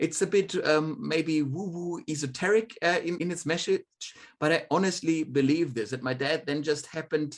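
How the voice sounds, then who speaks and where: A man with a German accent and fairly high pitch talks at a moderate pace with ordinary pitch variation. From Germany. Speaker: demographer. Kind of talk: podcast interview.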